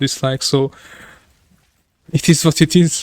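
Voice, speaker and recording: A man with a fairly high voice speaks at a fairly slow pace with fairly even intonation, recorded dry and close with no echo. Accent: Hungarian. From Hungary. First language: Hungarian. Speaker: video game streamer. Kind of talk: live stream casual chat. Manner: halting.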